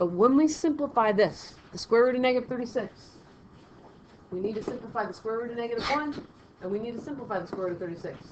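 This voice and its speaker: Very fast speech with ordinary pitch variation and big swings in loudness rings with audible room echo. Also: woman, fairly high pitch for a woman. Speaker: math teacher. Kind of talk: lecture.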